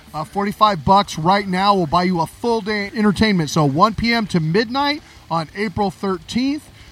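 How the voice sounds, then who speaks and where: With music in the background, a man speaks at a moderate pace in a high voice with lively intonation. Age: 50s. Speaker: podcast host. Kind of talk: casual chat.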